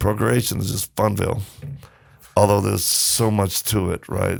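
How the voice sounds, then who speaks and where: At a moderate pace, a man talks at a fairly low pitch with vocal fry. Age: 60s. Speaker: ministry founder and humanitarian. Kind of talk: casual chat. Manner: animated.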